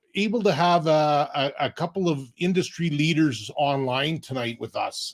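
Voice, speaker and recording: A man's normal speaking voice with a Canadian accent, fairly high in pitch, with ordinary pitch variation and a fairly slow pace. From Alberta, Canada. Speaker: online business mentor. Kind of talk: live stream introduction. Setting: online live stream.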